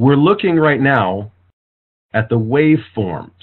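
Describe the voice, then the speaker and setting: This man's voice has a mid-range pitch. His tone moves in a lively way. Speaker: forensic audio technical expert. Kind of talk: virtual press conference. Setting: online video conference call. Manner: fast.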